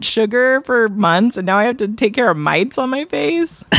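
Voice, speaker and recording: Lively intonation marks a woman's fairly high, ordinary speaking voice. She talks at a moderate pace. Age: 40s. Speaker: podcast co-host. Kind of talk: casual chat.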